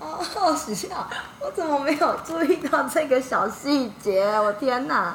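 A woman's high voice at a fairly slow pace, swinging very widely in pitch, with audible room echo and noticeable background noise. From Taiwan, Yilan. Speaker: former retail sales worker abroad. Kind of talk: casual interview chat.

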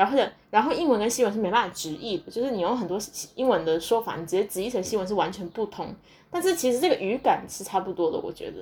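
A woman races along at a very fast pace with a fairly high pitch. Her pitch swings very widely and her loudness shifts a lot. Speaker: podcaster and graduate student abroad. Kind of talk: casual solo monologue. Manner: hesitant with many fillers.

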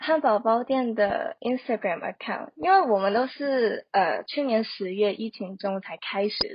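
Using a normal speaking voice, a woman with fairly high pitch and lively intonation talks at a fairly slow pace. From Hong Kong. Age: 20s. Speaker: social media marketer. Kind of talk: casual interview.

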